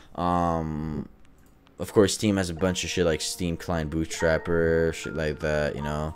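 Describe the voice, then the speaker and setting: A man's very deep, low pitch, delivered in a monotone, flat intonation at a fairly slow pace. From Quebec. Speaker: podcast host. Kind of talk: casual chat.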